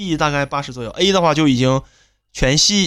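A man with a strong northeastern Chinese accent talks in a fairly high pitch with lively intonation. The recording is very clean, with a silent background. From Northeast China. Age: middle-aged. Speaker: podcast co-host. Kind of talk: casual chat.

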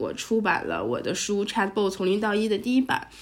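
Her voice sits at a medium pitch for a woman and carries vocal fry. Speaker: startup founder and CEO, AI chatbot expert. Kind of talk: interview.

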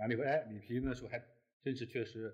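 His voice is somewhat breathy. The man talks at a very fast pace. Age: 60s. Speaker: newspaper editor. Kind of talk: casual chat. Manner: halting.

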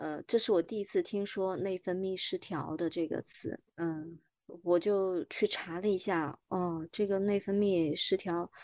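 Against a quiet background, a woman speaks at a fairly slow pace with a medium pitch and a dark, mellow tone. Her intonation is fairly even, and the sound is dry and close with no echo. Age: 40s. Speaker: woman sharing menopause experience, former agency worker. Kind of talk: interview testimony.

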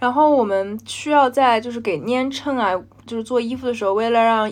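In an unremarkable speaking voice, a woman speaks at a moderate pace with ordinary pitch variation against a quiet background. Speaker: podcast co-host, graduate student. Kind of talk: casual chat.

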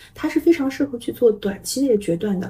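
A woman with a high pitch speaks at a fairly quick pace. Her tone is dark and mellow, and her pitch swings very widely. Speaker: tarot reader. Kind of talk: casual interview. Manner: gentle, many fillers.

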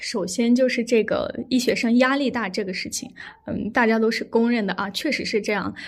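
A woman's fairly high voice at a moderate pace, with fairly even intonation. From Xinjiang, Ili (Kazakh). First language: Kazakh (speaking Chinese). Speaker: medical student. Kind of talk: casual interview chat. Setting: online remote recording.

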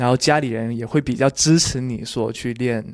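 Male speech in a Cantonese accent, medium in pitch, with ordinary pitch variation at a moderate pace. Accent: Cantonese-tinged Mandarin. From Guangdong, China. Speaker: beatbox champion and judge. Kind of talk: casual interview.

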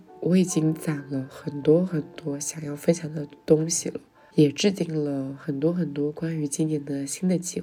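The speech moves at a fairly slow pace with fairly even intonation and big swings in loudness. Music plays in the background. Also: woman, very deep, low pitch for a woman. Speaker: podcast host. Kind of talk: solo monologue.

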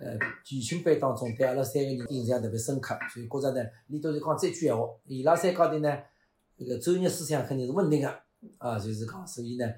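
A man's fairly high, somewhat breathy voice in a dark, mellow tone, at a very fast pace with ordinary pitch variation. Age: 50s. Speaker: pingtan storytelling performer. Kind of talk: casual interview chat.

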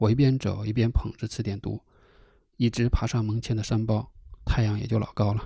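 A man speaks at a fairly quick pace with monotone, flat intonation. His tone is dark, mellow and relaxed, and somewhat breathy. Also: medium pitch for a man. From northern China, Hebei–Inner Mongolia border countryside. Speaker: podcast host. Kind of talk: solo storytelling podcast. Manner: casual, relaxed with fillers.

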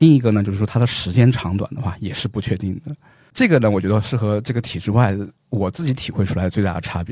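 Dark and mellow, a man's fairly low voice moves at a very fast pace with ordinary pitch variation. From Xinjiang, China. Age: 30s. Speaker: economics professor. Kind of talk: casual interview. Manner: frequent filler particles.

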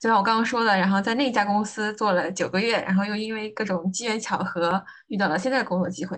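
With a slight breathiness, a woman talks, her pitch rising and falling in a typical way. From Anhui, China. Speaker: logistics planner, former gap traveler. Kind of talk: interview conversation.

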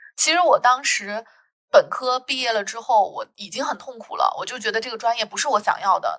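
High-pitched and bright, sharp in tone, a woman talks at a fairly quick pace. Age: 30s. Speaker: podcast host, sociology PhD student. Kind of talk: casual conversational podcast.

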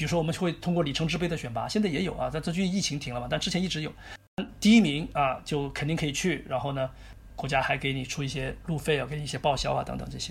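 This man talks at a very fast pace, with a fairly high pitch. There is vocal fry, and his pitch varies in an ordinary way. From Chongqing, China. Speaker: chess grandmaster. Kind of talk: interview. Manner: hesitant with fillers.

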